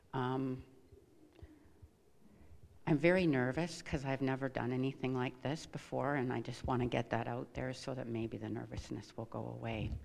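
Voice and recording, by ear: A woman with an extremely low pitch, vocal fry and a slightly mellow tone, at a moderate pace with fairly even intonation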